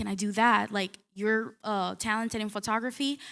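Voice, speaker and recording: A bright, sharp tone at a moderate pace with a Spanish accent, in a very clean recording against a silent background. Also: woman. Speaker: newspaper reporter. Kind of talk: panel discussion.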